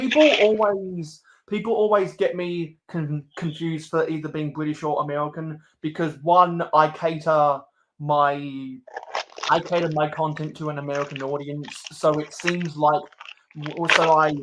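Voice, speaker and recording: A man speaks with an Estuary accent. His pitch is fairly high and his intonation fairly even. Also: moderate pace. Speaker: LEGO YouTuber. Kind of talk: casual chat. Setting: live stream. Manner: halting, repetitive.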